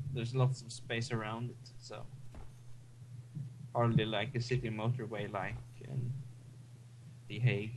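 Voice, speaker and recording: A man's medium-pitched, somewhat breathy voice in monotone, flat intonation, at a moderate pace with long, frequent pauses, big swings in loudness and audible room echo. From Sweden. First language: Swedish. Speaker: gaming co-commentator. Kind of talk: casual chat. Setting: live stream.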